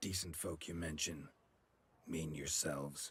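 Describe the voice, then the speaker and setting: Raspy put-on character voice from a man, very deep and low, at a moderate pace. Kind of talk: video game dialogue. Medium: video game. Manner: terse, clipped.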